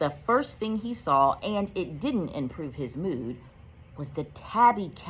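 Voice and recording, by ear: The intonation is lively while the text is read aloud in a natural voice.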